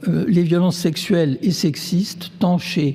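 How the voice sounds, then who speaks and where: A man speaks at a very slow pace. His pitch is high. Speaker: neuroscientist. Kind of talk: lecture. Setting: stage with audience. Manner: halting, many fillers.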